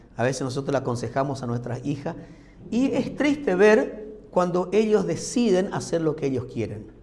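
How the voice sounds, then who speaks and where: Very wide pitch swings at a moderate pace, with audible room echo. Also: man, fairly high pitch for a man. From Argentina, Formosa/Corrientes. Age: 60s. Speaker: pastor. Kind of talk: sermon. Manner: conversational, uses rhetorical questions.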